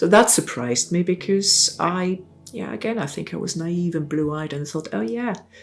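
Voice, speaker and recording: A woman with a German accent speaks at a moderate pace in a fairly low voice. Her intonation is lively, and there is noticeable background noise. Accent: German-speaking foreign. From South Tyrol, northern Italy (German-speaking). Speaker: essay contributor recounting migration. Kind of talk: personal testimony. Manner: halting, many fillers and self-corrections.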